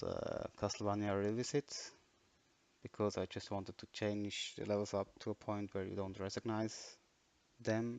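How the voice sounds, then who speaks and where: With a non-native accent, a man speaks at a fairly low pitch. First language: not English. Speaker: game modder. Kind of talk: tutorial. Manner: dry; halting.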